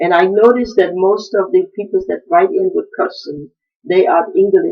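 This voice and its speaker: A woman's voice with very wide pitch swings at a moderate pace. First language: African language, not English. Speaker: traditional queen mother answering questions. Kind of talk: video address answering viewer questions. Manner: halting, with fillers.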